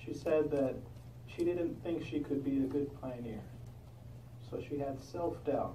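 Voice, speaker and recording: Noticeable background noise accompanies a man with a fairly high pitch and fairly even intonation. He speaks at a fairly slow pace, with long, frequent pauses. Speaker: congregation meeting part conductor. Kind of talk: religious discussion leading.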